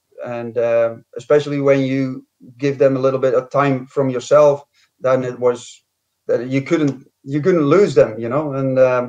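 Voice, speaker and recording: A man's fairly even intonation in a strong Scottish accent. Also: medium pitch for a man, fairly slow pace. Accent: strong Scottish accent (Dutch origin). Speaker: former footballer. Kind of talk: interview. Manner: hesitant, many fillers.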